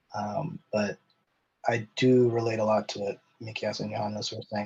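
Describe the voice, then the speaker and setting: A man with a Canadian accent speaks at a fairly low pitch in a somewhat breathy voice. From Canada. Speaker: podcast guest. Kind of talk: casual discussion. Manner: halting, many fillers and repeats.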